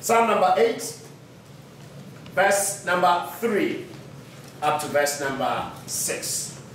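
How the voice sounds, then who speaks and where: A man speaks at a very slow pace. Light background noise and audible room echo are present. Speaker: preacher. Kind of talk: sermon. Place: church. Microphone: podium.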